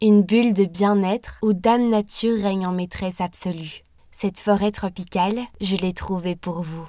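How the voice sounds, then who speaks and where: A woman's voice has a dark, mellow tone and a medium pitch. She moves at a moderate pace with fairly even intonation. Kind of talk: sleep story. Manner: soft-spoken, soothing.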